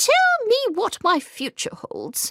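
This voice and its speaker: In a put-on character voice, a woman speaks with an extremely high, squeaky pitch, raised and projected, with very wide pitch swings. The sound is dry and close, with no echo. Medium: read story.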